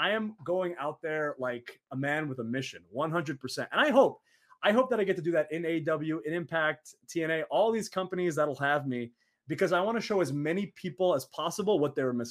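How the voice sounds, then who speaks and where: A man with an American accent speaks at a fairly quick pace in a high voice with lively intonation, on a very clean recording with a silent background. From Saudi Arabia. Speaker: professional wrestler. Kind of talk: casual interview.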